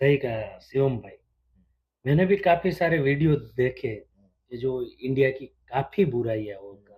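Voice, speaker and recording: Somewhat breathy and medium-pitched, a man speaks with lively intonation and big swings in loudness. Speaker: businessman and sourcing agent in China. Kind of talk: casual interview conversation.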